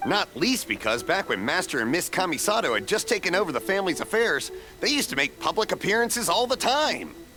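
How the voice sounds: A man in a put-on character voice, high-pitched with big pitch swings, bright and sharp in tone, at a fairly quick pace over faint background music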